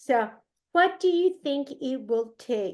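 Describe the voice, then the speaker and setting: A woman with a Spanish accent, very slow pace and lively intonation. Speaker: moderator. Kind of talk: panel moderation. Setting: video call.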